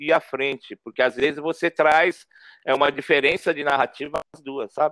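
A man speaks with an ordinary speaking voice at a moderate pace. His pitch is fairly high. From São Paulo, North Zone, Brazil. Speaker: photojournalist and street artist. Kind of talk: interview conversation.

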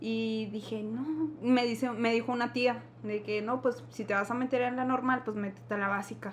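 Amid noticeable background noise, a woman speaks at a moderate pace in a monotone, flat intonation. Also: fairly high pitch for a woman. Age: 20s. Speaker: teacher. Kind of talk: casual chat.

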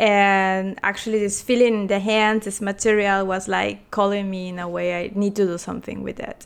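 A woman with a Spanish accent speaks at a medium pitch and moderate pace in a flat, monotone intonation, her loudness swinging widely, with hardly any pauses, on a very clean recording with a silent background. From Peru. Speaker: artist and designer. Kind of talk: interview.

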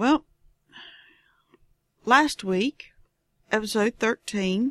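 With a Southern US accent, a woman talks at a fairly high pitch with ordinary pitch variation, the sound dry and close with no echo. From Southern United States. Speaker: knitting podcast host. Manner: casual, chatty, digressive.

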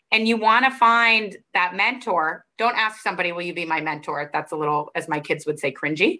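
In an American accent, a woman talks with a bright, sharp tone and very wide pitch swings over a quiet background. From Arizona, US. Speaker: finance professor. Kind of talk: interview, advice talk.

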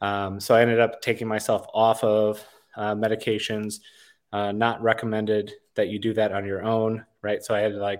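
A man's fairly low, monotone voice comes through with flat intonation on a very clean recording against a silent background. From Wisconsin, US Midwest. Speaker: war veteran. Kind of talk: podcast interview. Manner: halting, many fillers.

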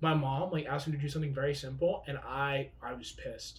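A man talks at a moderate pace in a fairly high pitch, sounding somewhat breathy. His intonation is monotone and flat. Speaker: podcast co-host. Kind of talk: casual chat. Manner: joking, casual.

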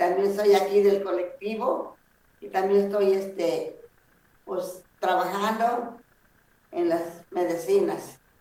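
The speech is very slow, with long, frequent pauses and ordinary pitch variation in a dark, mellow tone. Loudness swings widely, and room echo is audible. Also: woman, medium pitch for a woman. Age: 70s. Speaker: traditional healer. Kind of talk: interview. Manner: halting.

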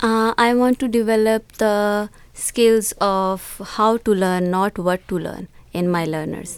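A woman's very slow, fairly even speech on a very clean recording with a silent background. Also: medium pitch for a woman. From Pakistan, Punjab. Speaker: schoolteacher and teacher trainer. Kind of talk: panel interview.

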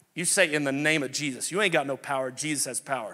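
In a New Orleans accent, a man talks with an animated tone. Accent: Southern US (New Orleans). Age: 40s. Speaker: pastor. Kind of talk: sermon. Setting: church.

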